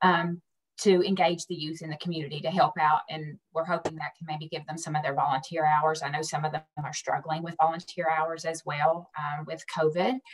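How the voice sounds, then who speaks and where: Speaking at a fairly quick pace in a strong West Virginia accent, the voice holds a monotone, flat intonation while swinging widely in loudness. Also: woman, very deep, low pitch for a woman. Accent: West Virginian, strong. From US South, West Virginia. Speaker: community program presenter. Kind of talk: council meeting presentation.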